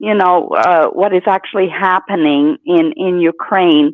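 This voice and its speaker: Very slow pace with ordinary pitch variation. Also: woman. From Latvia. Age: 60s. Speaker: caller. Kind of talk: call-in chat.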